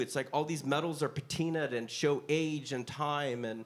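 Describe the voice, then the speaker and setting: At a moderate pace, a man speaks in an animated tone with ordinary pitch variation. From US Northeast, western Pennsylvania. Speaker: glass and metal artist, designer. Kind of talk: casual interview chat. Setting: live recording at a showroom.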